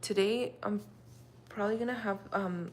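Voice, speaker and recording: A woman with a Russian accent talks at a fairly slow pace. Her intonation is lively, and there is noticeable noise behind her. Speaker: livestreamer. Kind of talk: casual chat. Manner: calm and mellow.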